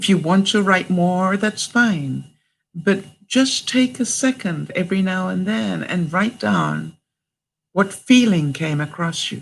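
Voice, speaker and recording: A woman with a warm tone and medium pitch speaks at a fairly slow pace, somewhat breathy, her intonation lively. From Canada. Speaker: vlogger. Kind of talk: live stream talk to viewers. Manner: warm, supportive.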